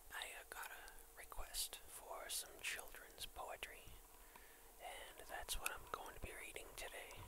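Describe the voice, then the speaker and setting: A man whispering at a very slow pace with hardly any pauses, against noticeable background noise. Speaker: ASMR video creator. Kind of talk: casual talk to camera. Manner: whispered, soft.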